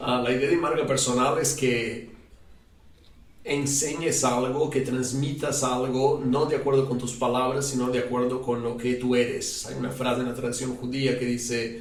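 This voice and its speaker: A man with a non-native accent speaks at medium pitch and a moderate pace in a monotone, flat intonation, with noticeable background noise and audible room echo. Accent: foreign accent in Spanish. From Brazil. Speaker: rabbi and psychologist. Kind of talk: interview.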